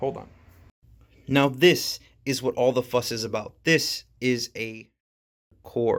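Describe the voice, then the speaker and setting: At a very slow pace with long, frequent pauses, a man speaks at a medium pitch. His intonation is fairly even, while his loudness swings greatly. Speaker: tool reviewer. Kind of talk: tutorial. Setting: outdoors. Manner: soft-spoken.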